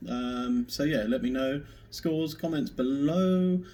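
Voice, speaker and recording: A man speaks with an English accent and lively intonation. His tone is dark and mellow. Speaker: pub quiz host. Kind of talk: online quiz video.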